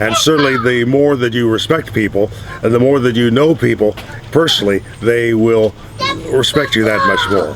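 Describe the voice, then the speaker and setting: A man at medium pitch and moderate pace, with very even loudness, ordinary pitch variation and noticeable background noise. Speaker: broadcaster and race track announcer. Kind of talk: interview answer.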